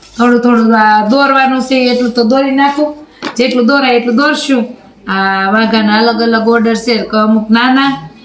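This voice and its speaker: A woman with a high pitch speaks with fairly even intonation and very even loudness. Audible room echo and noticeable background noise are present. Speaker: vlogger and home seamstress. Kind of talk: casual vlog narration.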